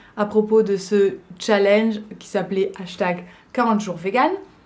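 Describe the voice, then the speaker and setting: A woman's fairly high voice with fairly even intonation and audible room echo. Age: 20s. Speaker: vlogger. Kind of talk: casual vlog talk. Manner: hesitant, many fillers.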